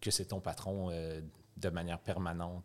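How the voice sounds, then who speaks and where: Captured in a very clean recording against a silent background, this man's voice sits very deep and low. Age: 30s. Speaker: youth hostel owner. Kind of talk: casual chat.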